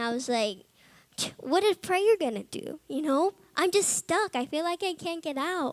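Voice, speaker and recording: A woman at a moderate pace, the sound dry and close with no echo. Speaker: Bible college student giving testimony. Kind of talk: testimony. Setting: chapel service with audience. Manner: loud; animated.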